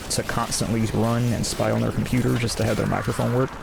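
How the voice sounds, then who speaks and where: Over noticeable background noise and with audible room echo, a soft-spoken voice talks in a flat, monotone way. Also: man. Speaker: gaming streamer. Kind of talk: gameplay commentary. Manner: halting.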